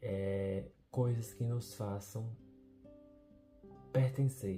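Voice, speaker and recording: A man talks over music playing in the background. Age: 20s. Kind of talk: personal video diary reflection.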